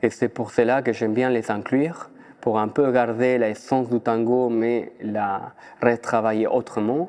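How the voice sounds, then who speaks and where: A man talks at a fairly slow pace in an Argentine accent. His intonation stays fairly even. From Argentina, Buenos Aires. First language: Spanish (speaking French). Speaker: dancer and choreographer. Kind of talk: interview. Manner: halting.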